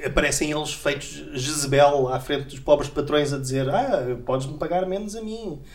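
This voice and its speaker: In a European Portuguese accent, the speaker keeps a moderate pace with hardly any pauses. Noticeable background noise is present. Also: man, fairly high pitch for a man, ordinary pitch variation. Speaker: podcast host. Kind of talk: casual satirical panel chat.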